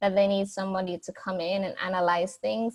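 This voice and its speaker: This is a woman speaking at a medium pitch. Her voice is somewhat breathy. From Jamaica, Saint Andrew near Kingston. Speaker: business consultant and theater graduate. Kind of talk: podcast interview. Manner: halting, many repeated words.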